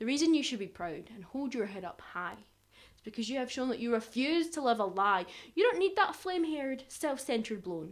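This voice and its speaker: This woman talks fairly quickly in a Glaswegian accent, her voice high and her pitch swinging very widely. Her loudness rises and falls sharply. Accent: Glaswegian Scottish. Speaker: performance poet. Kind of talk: performance poetry. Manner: animated.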